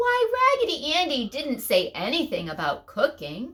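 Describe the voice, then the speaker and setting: A woman uses a put-on character voice at a high pitch. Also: moderate pace. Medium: read story.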